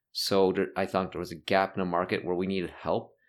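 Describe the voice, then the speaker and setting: A man's very deep, low voice at a very fast pace, with a Canadian accent. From Toronto, Canada (North York). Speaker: tech investor and entrepreneur. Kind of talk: interview.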